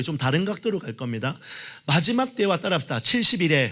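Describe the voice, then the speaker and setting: Fairly high for a man, his voice moves at a fairly quick pace with an animated tone and very wide pitch swings. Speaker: pastor. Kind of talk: sermon. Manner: fast.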